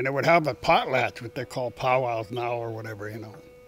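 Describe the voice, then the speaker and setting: A man with an American accent talks over distinct background noise. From Washington State coast, US Pacific Northwest. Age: old. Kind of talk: oral history storytelling.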